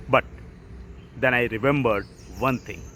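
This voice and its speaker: The speaker is a man. He talks with an Indian accent. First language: Hindi. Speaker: author and IT professional. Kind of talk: motivational talk.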